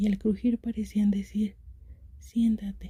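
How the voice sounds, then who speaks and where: This voice is soft-spoken and whispering. It moves at a fairly slow pace. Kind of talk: story reading. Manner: whispered; soft-spoken, relaxing.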